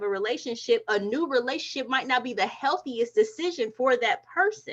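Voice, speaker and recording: A woman's high, raised, projected voice at a fairly quick pace. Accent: American. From northeast Ohio. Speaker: spiritual alchemist, insurance worker. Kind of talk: casual group discussion. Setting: online livestream.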